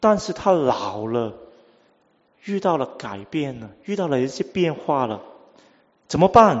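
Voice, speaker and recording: A man with a Cantonese accent talks at a very slow pace, with long, frequent pauses and big swings in loudness. His pitch is fairly high and swings very widely. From Hong Kong. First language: Cantonese (speaking Chinese). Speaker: preacher. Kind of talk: sermon.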